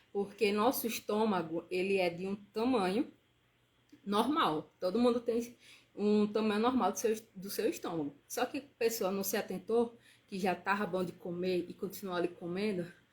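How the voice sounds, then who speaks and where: This woman's voice is medium in pitch and somewhat breathy. She keeps a moderate pace with ordinary pitch variation. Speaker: nutritionist. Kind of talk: live stream talk. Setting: live stream.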